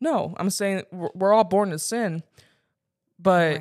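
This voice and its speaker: Using a normal speaking voice, a woman speaks with fairly even intonation. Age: 20s. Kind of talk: casual chat.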